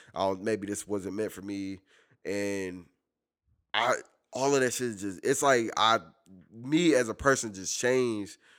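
A man talks at a fairly slow pace with a fairly low pitch and ordinary pitch variation. Long, frequent pauses break up his speech, and the recording is very clean with a silent background. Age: 30s. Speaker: podcast guest, workplace manager. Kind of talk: casual chat.

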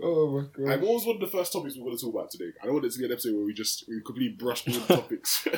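Over noticeable background noise, a man talks at a very fast pace with hardly any pauses, his fairly high pitch making very wide swings. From London. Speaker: podcast co-host. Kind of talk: casual chat.

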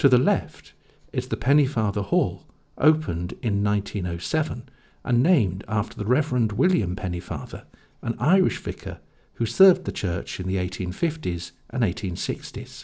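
On a very clean recording with a silent background, a man with a medium-pitched, dark, mellow, somewhat breathy voice speaks at a moderate pace with very wide pitch swings. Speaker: audio tour narrator. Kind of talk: scripted audio-guide narration giving step-by-step walking directions. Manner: clear, measured, instructional pacing; polite, formal council-style tone.

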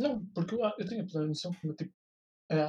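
This man's tone is dark and mellow. He talks at a very fast pace. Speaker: podcast co-host. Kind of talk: casual chat.

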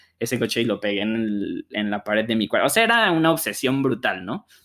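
Speaking very fast at a medium pitch, a man is heard on a very clean recording against a silent background. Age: 30. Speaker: car podcast co-host. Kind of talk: casual chat.

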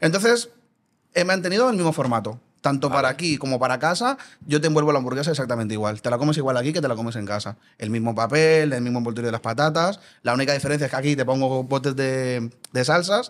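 Words come out at a very fast pace, carrying ordinary pitch variation. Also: man, medium pitch for a man. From Colombia. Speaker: burger restaurant owner. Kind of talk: casual interview.

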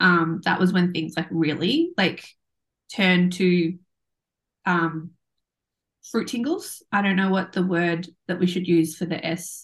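Long, frequent pauses break up this woman's speech. Her voice is somewhat breathy and fairly low in pitch. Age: 30s. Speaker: podcast co-host, mother and Reiki practitioner. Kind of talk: casual chat. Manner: animated, laughing often.

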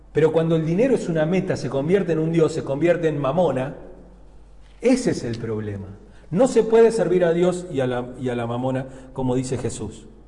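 This man talks fairly fast in a fairly high voice with very wide pitch swings. Noticeable background noise and audible room echo fill the recording. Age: 50s. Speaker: pastor. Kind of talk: sermon. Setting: church pulpit. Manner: hesitant, many fillers and repetitions.

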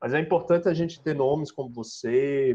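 A man's ordinary speaking voice, with fairly even intonation at a moderate pace. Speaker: student interviewer.

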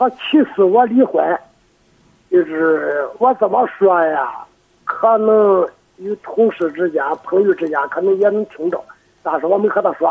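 A high-pitched man with lively intonation and long, frequent pauses. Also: fairly slow pace. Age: 50s. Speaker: farmer. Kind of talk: phone call-in. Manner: soft-spoken; halting.

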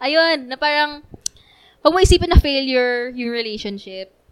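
A woman with lively intonation. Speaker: church youth member. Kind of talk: casual chat.

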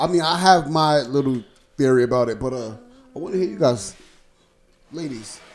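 Animated in tone, a man speaks at a fairly high pitch and moderate pace, with ordinary pitch variation and long, frequent pauses. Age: 30s. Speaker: podcast host. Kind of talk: casual chat.

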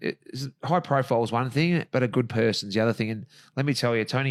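With an Australian accent, a man talks at a fairly quick pace on a very clean recording with a silent background. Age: 40s. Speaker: real estate agent and ring announcer. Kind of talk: casual chat.

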